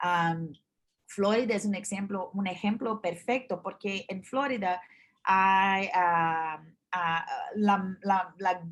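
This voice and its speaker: A woman's medium-pitched voice at a very slow pace with fairly even intonation, on a very clean recording with a silent background. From Brazil. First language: Portuguese (speaking Spanish). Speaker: journalist. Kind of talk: interview. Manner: halting, many fillers and restarts.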